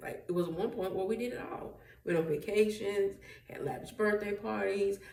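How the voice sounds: In a room with strong echo, a woman speaks at a moderate pace and medium pitch, with a slightly mellow tone and ordinary pitch variation.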